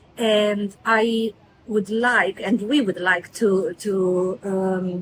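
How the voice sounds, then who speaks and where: In a Romanian accent, a woman speaks at a medium pitch with fairly even intonation. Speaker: career mentor. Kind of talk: motivational talk. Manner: halting, many fillers.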